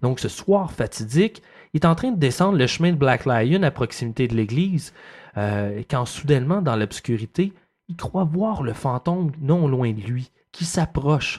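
In a Quebec accent, the speaker talks at a fairly slow pace with lively intonation and a somewhat breathy quality, on a very clean recording with a silent background. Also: man, fairly high pitch for a man. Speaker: podcast host. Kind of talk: storytelling.

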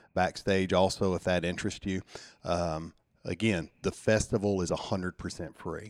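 Over a very clean recording with a silent background, a man with a Southern US accent speaks at a moderate pace in a very deep, low pitch, his intonation monotone and flat. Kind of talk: casual interview.

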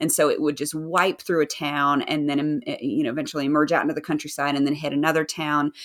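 A woman talks very fast in a very deep, low voice, with hardly any pauses and monotone, flat intonation. The recording is very clean, with a silent background. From US South. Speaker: author. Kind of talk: casual interview chat.

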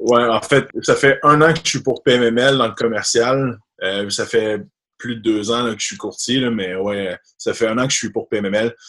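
This man has an unremarkable speaking voice with ordinary pitch variation. His pace is fairly slow. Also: medium pitch for a man. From Quebec, rural area near Quebec City. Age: 20s. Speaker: commercial mortgage broker. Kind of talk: interview. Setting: video call.

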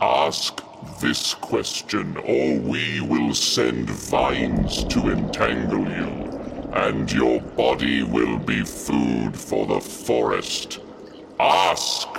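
A put-on character voice moves at a very slow pace against clear background noise. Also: man, very deep, low pitch for a man. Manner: weary, exasperated, then grandiose.

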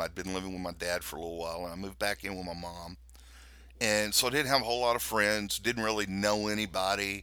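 A man's fairly low voice with an American accent, a bright, sharp tone and ordinary pitch variation. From US South, Louisiana. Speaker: pastor. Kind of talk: casual chat.

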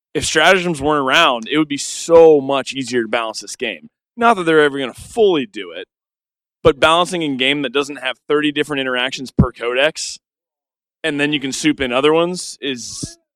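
Talking at a fairly quick pace, a man shows ordinary pitch variation and big swings in loudness. The sound is dry and close, with no echo. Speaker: Warhammer player. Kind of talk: roundtable discussion.

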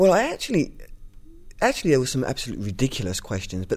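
A man speaks with a London accent. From East London. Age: 30s. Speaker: adoptive parent and writer. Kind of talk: interview. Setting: in person. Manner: halting, many fillers and repetitions.

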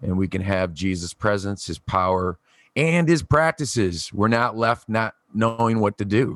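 In an ordinary speaking voice, a man talks at a fairly slow pace and fairly low pitch, with a dry, close sound with no echo. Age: 40s. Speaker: podcast co-host, church leader. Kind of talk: casual conversation about church. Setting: remote recording from his garage.

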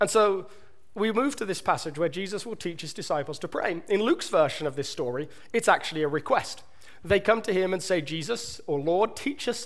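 Lively intonation at a moderate pace, in a southern British accent. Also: man. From southern England. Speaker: pastor preaching a sermon. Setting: church stage. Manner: conversational, energetic.

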